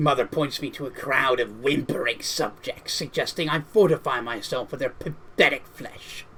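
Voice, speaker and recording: Put-on character voice from a man, fairly high-pitched, with hardly any pauses. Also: moderate pace. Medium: game stream. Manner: malevolent, hungry.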